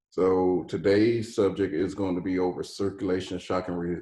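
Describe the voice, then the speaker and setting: The man's pitch is very deep and low, and his voice is somewhat breathy. He keeps a moderate pace with monotone, flat intonation. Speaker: EMS first aid instructor. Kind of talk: lecture.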